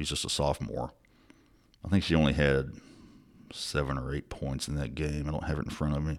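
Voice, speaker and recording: A man's very deep, low voice in a Mississippi accent, fairly quick yet monotone and flat, broken by long, frequent pauses. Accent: Southern US (Mississippi). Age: 40s. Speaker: sports journalist podcast host. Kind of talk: casual sports podcast report. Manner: casual, many fillers.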